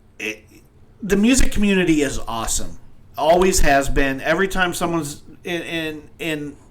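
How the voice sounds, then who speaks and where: In a room with audible echo, a man with a high pitch talks at a moderate pace with lively intonation. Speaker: live stream show host. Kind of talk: casual chat. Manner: halting, stumbles over words.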